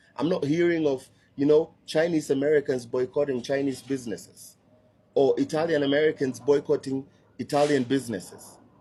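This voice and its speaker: A speaker with a Kenyan accent talks at a fairly quick pace in a dark, mellow tone. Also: man, fairly high pitch for a man. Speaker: social media commentator. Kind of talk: opinion rant to camera. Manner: animated.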